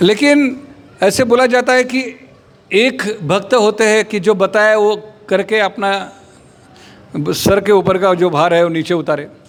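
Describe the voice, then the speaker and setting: A man speaks with a high pitch. His speech has long, frequent pauses. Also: ordinary pitch variation. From Maharashtra, India. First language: Marathi (speaking Hindi). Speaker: spiritual speaker. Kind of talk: religious talk.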